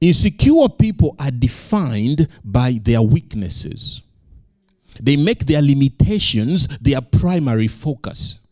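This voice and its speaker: A man's somewhat breathy, fairly high voice with a dark, mellow tone, very slow pace and lively intonation. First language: not English. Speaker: pastor. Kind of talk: sermon.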